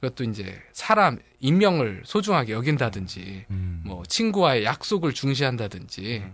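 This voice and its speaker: A man with a medium pitch speaks at a moderate pace with hardly any pauses, very wide pitch swings and big swings in loudness, over a quiet background. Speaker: psychologist. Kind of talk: casual chat.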